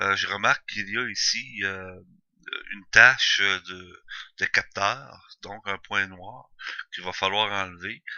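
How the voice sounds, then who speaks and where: Very slow and full of long, frequent pauses, a man speaks in a fairly low, monotone, flat voice whose loudness swings widely. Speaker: amateur photographer. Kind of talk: tutorial. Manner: halting, many fillers.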